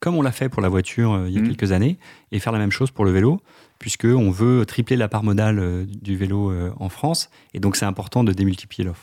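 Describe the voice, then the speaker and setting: Here a man speaks with a fairly low pitch and ordinary pitch variation. His tone is dark and mellow. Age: 30s. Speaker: bike-sharing marketing manager. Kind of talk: radio interview.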